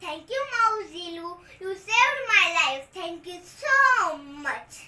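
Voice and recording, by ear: She's doing a put-on character voice, pitched extremely high. Her delivery is very slow.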